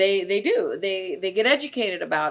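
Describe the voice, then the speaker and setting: Intonation rises and falls in a lively way. The delivery, in an unremarkable speaking voice, runs fairly quickly. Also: woman. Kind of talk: casual conversational discussion of fundraising events.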